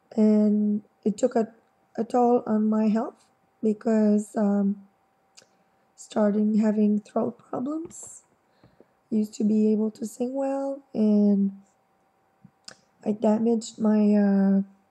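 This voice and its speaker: Dark and mellow in tone, a woman speaks at a fairly high pitch, somewhat breathy, in a fairly even intonation. Her pace is very slow, with long, frequent pauses. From Quebec, Montreal. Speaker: vlogger. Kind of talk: personal testimony. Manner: halting, many fillers.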